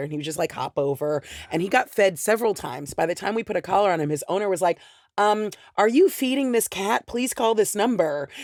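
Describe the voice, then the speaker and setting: A woman with an American accent talks at a very fast pace in an animated tone. Her voice sounds dry and close with no echo, on a very clean recording with a silent background. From US West Coast, Los Angeles. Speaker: comedian. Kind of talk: casual chat.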